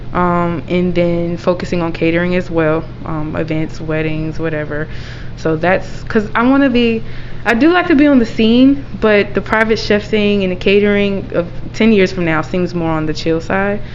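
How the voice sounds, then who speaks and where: Amid noticeable background noise and audible room echo, a woman with a fairly low pitch talks at a moderate pace with lively intonation. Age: 20s. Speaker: chef and caterer. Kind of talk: interview. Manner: hesitant, many fillers.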